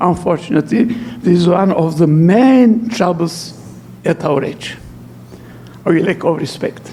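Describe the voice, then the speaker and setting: A man's high-pitched, fairly slow speech with a non-native accent, lively intonation and long, frequent pauses, over noticeable background noise. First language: not English. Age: 80s+. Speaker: archbishop and lecturer. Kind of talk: lecture. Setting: church hall with audience.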